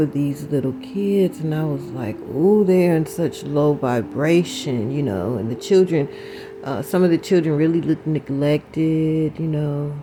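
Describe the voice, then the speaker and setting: A woman's very deep, low pitch, lively intonation and fairly slow pace, with music in the background. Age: 60s. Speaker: spiritual vlogger. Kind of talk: casual spiritual talk.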